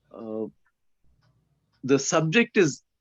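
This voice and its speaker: Speaking with a Keralan accent, a man uses a fairly high pitch and lively intonation. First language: Malayalam. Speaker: retired prison employee introducing speaker. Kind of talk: speaker introduction at online seminar.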